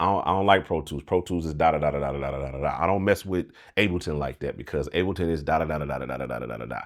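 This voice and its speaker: A man's very deep, low voice with vocal fry, ordinary pitch variation and an animated tone at a very fast pace, on a very clean recording with a silent background. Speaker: music producer and mixing engineer YouTuber. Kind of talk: casual commentary monologue.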